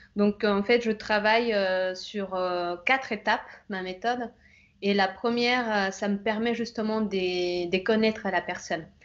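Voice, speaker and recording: A woman with a Bolivian accent speaks at a fairly slow pace. Her pitch is medium and her intonation fairly even. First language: Spanish (speaking French). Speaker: image consultant. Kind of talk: interview. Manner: halting, many hesitations.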